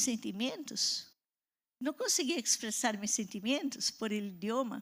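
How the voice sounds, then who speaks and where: A woman with a Portuguese accent speaks at a fairly high pitch with lively intonation. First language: Portuguese (speaking Spanish). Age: 60s. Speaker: pastor. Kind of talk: sermon.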